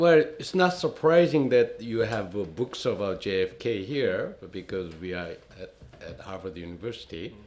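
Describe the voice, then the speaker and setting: At a moderate pace, this voice with a Korean accent makes very wide pitch swings and big swings in loudness. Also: man, medium pitch for a man. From South Korea. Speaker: retired diplomat. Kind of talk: interview. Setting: university office.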